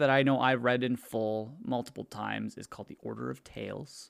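He is a man speaking at a moderate pace. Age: 20s. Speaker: podcast co-host. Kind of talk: casual chat.

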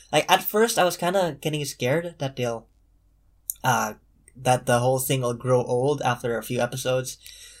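An unremarkable speaking voice from a man, medium-pitched with ordinary pitch variation and a moderate pace, on a very clean recording with a silent background. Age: young. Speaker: podcast guest. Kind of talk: casual chat.

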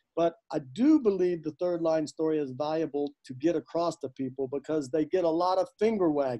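With a dark, mellow tone and a fairly high pitch, a man talks at a moderate pace with hardly any pauses and ordinary pitch variation, the sound dry and close with no echo. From US South. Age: 60s. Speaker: podcast co-host, teacher. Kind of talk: casual discussion and teaching.

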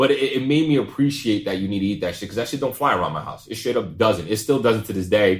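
At a very fast pace with hardly any pauses, a man speaks at a medium pitch with lively intonation. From Pawtucket, Rhode Island. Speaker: podcast co-host. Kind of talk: casual chat.

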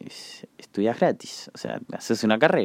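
With an Argentine accent, a man speaks at a fairly slow pace. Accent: Rioplatense Argentine Spanish. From Argentina, La Plata. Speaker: podcast host. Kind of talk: casual solo monologue. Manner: hesitant, many filler words.

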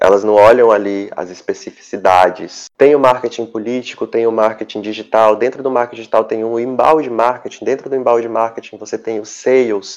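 Hardly pausing, a man with an unremarkable speaking voice talks at a fairly quick pace with a medium pitch and fairly even intonation. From interior of Amazonas, Brazil (Lábrea). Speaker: communications professional. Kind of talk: interview.

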